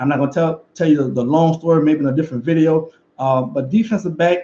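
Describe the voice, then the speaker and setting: A man's fairly high voice, dark and mellow in tone, with a Louisiana accent. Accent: Louisiana Southern US. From Louisiana, River Parishes. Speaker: football coach and former player. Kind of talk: video commentary and motivational message. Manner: fast.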